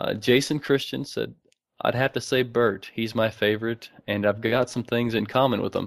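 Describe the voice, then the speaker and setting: Speaking at a moderate pace with an American accent, a man at medium pitch keeps his intonation fairly even in a dry, close sound with no echo. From Arkansas, US South. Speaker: podcast host, fan commentator. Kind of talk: casual chat, recap discussion. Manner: monotone.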